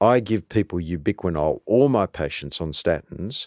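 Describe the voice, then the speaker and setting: A man with an Australian accent and ordinary pitch variation, on a very clean recording with a silent background. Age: 60s. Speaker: cardiologist. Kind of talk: interview. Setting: studio.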